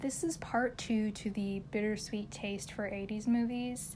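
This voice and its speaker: Somewhat breathy, a woman with a fairly high voice talks at a fairly slow pace with fairly even intonation. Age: 20s. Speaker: solo podcast host. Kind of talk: casual monologue.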